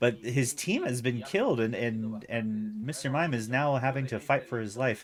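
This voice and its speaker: A man has a plain, everyday voice. He speaks at a moderate pace with a medium pitch. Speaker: esports shoutcaster. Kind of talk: live game commentary.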